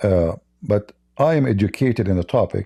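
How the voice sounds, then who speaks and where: A man's somewhat breathy voice, dark and mellow in tone, with lively intonation. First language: Arabic. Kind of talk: personal testimony; casual chat with a caller. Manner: halting, repeats words.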